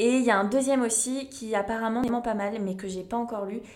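A woman with a fairly high pitch and ordinary pitch variation, talking at a very fast pace amid noticeable background noise. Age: 20s. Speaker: podcast host. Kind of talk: solo podcast monologue. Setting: home recording at living room table. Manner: casual.

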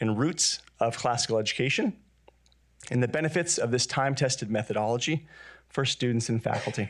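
A man's fairly quick delivery in an ordinary speaking voice, with ordinary pitch variation. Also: very clean recording, silent background. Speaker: school founder and panel moderator. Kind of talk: panel discussion. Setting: stage with audience.

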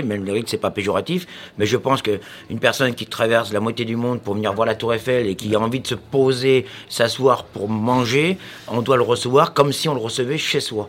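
Using an unremarkable speaking voice, a man talks at medium pitch and a fairly quick pace with ordinary pitch variation. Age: 40s. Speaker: chef. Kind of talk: casual chat.

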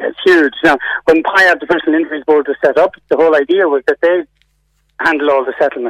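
A man speaks with an Irish accent. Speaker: insurance reform campaigner. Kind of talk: radio interview.

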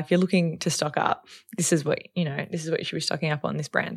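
Heard against a silent background in a very clean recording, this woman talks with an Australian accent. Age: 30s. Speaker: social media influencer. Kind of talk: casual chat.

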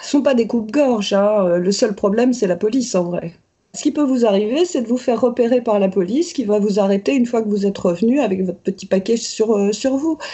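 A woman talks at a fairly quick pace in a fairly high pitch, her voice somewhat breathy. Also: ordinary pitch variation. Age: 60s. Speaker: cannabis legalization activist. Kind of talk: interview testimony.

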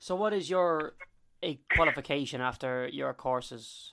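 The voice comes in an Irish accent on a very clean recording with a silent background. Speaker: podcast host. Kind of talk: interview.

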